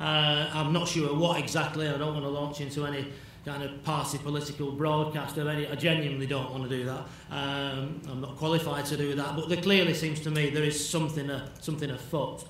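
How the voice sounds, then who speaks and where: Audible room echo and noticeable background noise fill the recording. A man with a Manchester accent speaks at a fairly quick pace in a fairly high pitch with monotone, flat intonation. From northern England, Bury near Manchester. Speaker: addiction specialist lecturer. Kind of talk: lecture.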